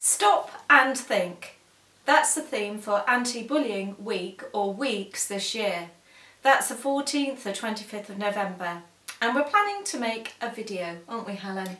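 Heard with audible room echo, a woman speaks at a fairly slow pace, with big swings in loudness and ordinary pitch variation. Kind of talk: casual vlog announcement. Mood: warm, earnest. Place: home room. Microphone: camera far.

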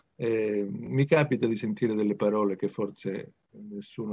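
A man speaks in a dark, mellow tone, his pitch fairly low. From Calabria, southern Italy. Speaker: audience member. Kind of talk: reflective comment. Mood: reflective, nostalgic. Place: home room. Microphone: video call.

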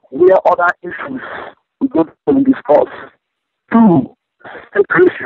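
Speaking at a moderate pace in a Niger Delta accent, a man swings his pitch very widely, heard with a dry sound with no echo over a quiet background. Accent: Nigerian (Ijaw) English. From Nigeria, Niger Delta. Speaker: militant leader. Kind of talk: phone interview. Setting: phone call. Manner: confident. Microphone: phone line.

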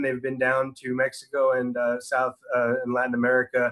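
A man's monotone, flat voice over a quiet background. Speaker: orthopedic surgeon; presenter. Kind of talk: lecture. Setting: video call. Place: home room. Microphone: video call.

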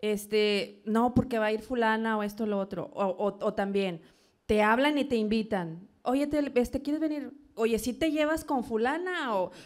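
In an unremarkable speaking voice, a woman talks at a moderate pace with fairly high pitch and lively intonation over a quiet background. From Monterrey, Nuevo León, Mexico. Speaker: event producer and businesswoman; interview guest. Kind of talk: interview. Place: studio. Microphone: handheld.

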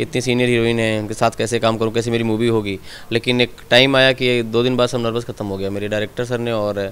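A man speaks with hardly any pauses. His intonation is monotone and flat. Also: medium pitch for a man, fairly quick pace. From India, Gorakhpur district (eastern Uttar Pradesh), village; Uttar Pradesh, India. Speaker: film actor. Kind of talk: interview. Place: home room. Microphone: handheld.

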